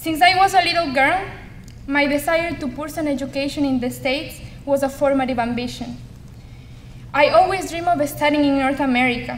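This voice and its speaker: A woman with a strong Ecuadorian accent talks at a fairly quick pace in a high pitch, her fairly even intonation broken by long, frequent pauses, with audible room echo. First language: Spanish. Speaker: community college student. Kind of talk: speech. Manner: formal.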